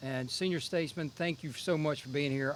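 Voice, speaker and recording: A man in a Southern US accent talks with a fairly high pitch and ordinary pitch variation. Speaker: Air Force general. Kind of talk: ceremony speech.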